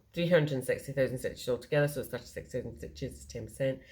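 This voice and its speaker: Speaking very fast, a woman with a very deep, low pitch shows vocal fry and a dark, mellow tone. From Scotland. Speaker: cross-stitch video creator. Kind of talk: casual show-and-tell vlog.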